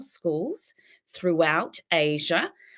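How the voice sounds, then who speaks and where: The woman speaks very slowly. Her accent is Australian. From South Australia, Adelaide. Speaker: teacher and keynote speaker. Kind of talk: keynote talk.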